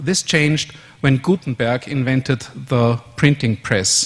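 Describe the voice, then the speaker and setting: Speaking fairly slowly with an Austrian accent, a man uses a medium pitch and ordinary pitch variation. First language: German. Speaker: conference speaker, software developer. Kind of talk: conference presentation. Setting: stage with audience.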